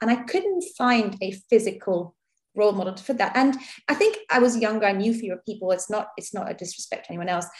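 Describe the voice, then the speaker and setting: Speaking at a very fast pace, a woman with a fairly high pitch and a somewhat breathy voice shows ordinary pitch variation and big swings in loudness. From India. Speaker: doctor. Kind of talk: interview.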